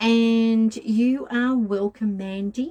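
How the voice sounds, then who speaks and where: Her voice sits fairly high. The speaker is a woman. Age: 50s. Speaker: tarot and tea leaf reader. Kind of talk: livestream reading and chat. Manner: casual, hesitant with fillers.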